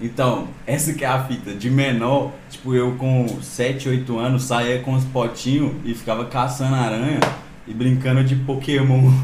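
A man's medium-pitched, monotone voice at a fairly slow pace, with flat intonation, audible room echo and noticeable background noise. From Belo Horizonte, Minas Gerais. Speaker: musician. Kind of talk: casual chat. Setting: live stream video call.

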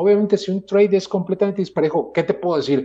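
Against a quiet background, a man speaks in a high pitch with a dark, mellow tone. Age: 40s. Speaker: architect and fantasy football player. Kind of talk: casual chat. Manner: halting, with frequent repetitions.

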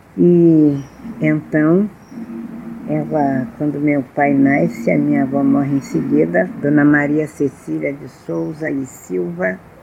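Over noticeable background noise, a woman with a very deep, low pitch speaks at a very slow pace, her pitch swinging very widely. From Rio de Janeiro, Brazil (Tijuca). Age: 80s+. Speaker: storyteller of Afro-Brazilian culture. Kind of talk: interview, personal storytelling.

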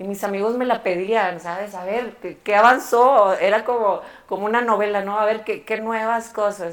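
Using an ordinary speaking voice, a woman talks at a moderate pace. Her pitch is medium and her intonation fairly even. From Mexico, Monterrey. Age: 30s. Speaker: barber and educator. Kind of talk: interview. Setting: barbershop.

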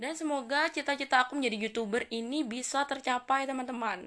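Woman with a strong Javanese accent and an animated tone, at a moderate pace. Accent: strong Javanese-accented Indonesian. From East Java, Indonesia (Jember). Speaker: university student and podcaster. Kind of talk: casual solo podcast monologue. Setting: home recording with basic equipment. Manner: chatty, animated.

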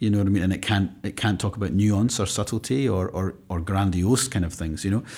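Speaking with a Scottish accent, a man talks at a fairly quick pace with hardly any pauses. His fairly low voice shows ordinary pitch variation. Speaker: classical guitarist and conservatoire teacher. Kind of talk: interview. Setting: conservatoire room.

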